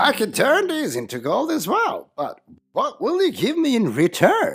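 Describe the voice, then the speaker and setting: A cartoonish character voice delivers its lines at a moderate pace. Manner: sly, mocking.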